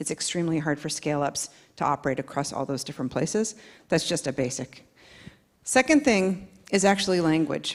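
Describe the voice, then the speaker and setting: A woman with an American accent talks fairly quickly in a very deep, low pitch, with lively intonation. The recording is very clean and the background silent. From United States. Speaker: panelist, tech industry. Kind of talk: panel discussion.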